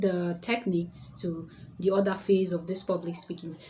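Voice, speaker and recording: This woman's tone is dark and mellow, somewhat breathy. She talks at a moderate pace. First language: not English. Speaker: public speaking coach. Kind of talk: tutorial.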